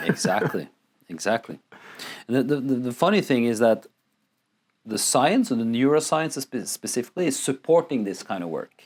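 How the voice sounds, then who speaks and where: A man at a medium pitch with lively intonation, a moderate pace, and long, frequent pauses. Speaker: men's work facilitator. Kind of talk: podcast interview. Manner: loud.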